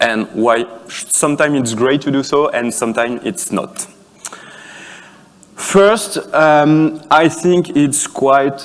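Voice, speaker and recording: In a French accent, a man speaks at a very slow pace and a fairly high pitch, his pitch variation ordinary, with long, frequent pauses and noticeable background noise. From France. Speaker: conference speaker, software developer. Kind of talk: conference talk. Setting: conference stage with audience. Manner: halting, many fillers and restarts.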